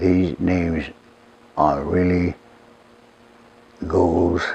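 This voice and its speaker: A man's very deep, low voice with a Lakota accent at a very slow pace, against noticeable background noise. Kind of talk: interview.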